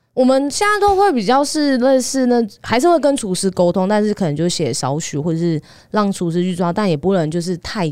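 A woman with a Taiwanese accent at a moderate pace, very wide pitch swings, in a very clean recording with a silent background. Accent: Taiwanese Mandarin. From Taiwan, Taipei. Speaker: dietitian. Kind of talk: casual chat.

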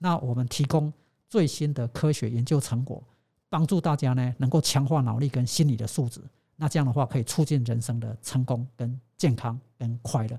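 Somewhat breathy and dark, mellow in tone, a man speaks at a moderate pace and medium pitch with ordinary pitch variation. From Taiwan. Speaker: sports science professor. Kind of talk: interview.

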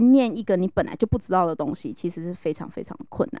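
Her tone animated and her intonation lively, a woman talks at a very fast pace. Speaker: HR professional. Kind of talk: casual chat.

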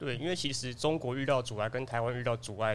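At a very fast pace, a man speaks at a medium pitch with ordinary pitch variation. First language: Taiwanese Hokkien (speaking Chinese). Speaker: office assistant and podcast panelist. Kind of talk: casual chat.

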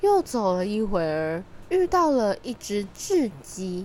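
At a fairly slow pace, a woman speaks at medium pitch with a dark, mellow tone and big pitch swings.

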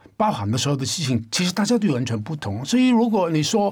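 Spoken in a Cantonese accent at a fairly quick pace, the voice swings very widely in pitch. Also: man. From Hong Kong. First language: Cantonese (speaking Chinese). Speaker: independent musician. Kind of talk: casual chat.

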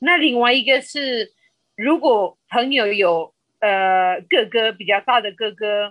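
Speaking very slowly, a woman uses lively intonation at a fairly high pitch. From Colombia. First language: Spanish (speaking Chinese). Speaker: podcast guest. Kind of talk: casual interview chat. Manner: halting, many filler sounds.

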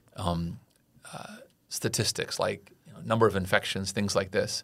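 A man with an American accent talks at a moderate pace in a fairly low pitch, using fairly even intonation and an unremarkable speaking voice. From California. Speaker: podcast host. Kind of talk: casual chat.

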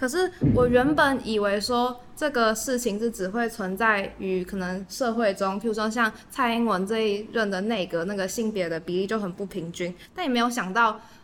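Speaking at a moderate pace with hardly any pauses, a woman uses a fairly high pitch with ordinary variation. Noticeable background noise is present. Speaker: youth podcast host. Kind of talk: casual chat. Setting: recording venue.

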